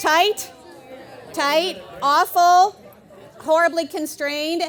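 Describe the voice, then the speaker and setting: With crowd noise in the background, a woman speaks in an energetic tone. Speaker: keynote speaker and coach. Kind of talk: live conference talk. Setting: live stage. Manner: humorous, energetic.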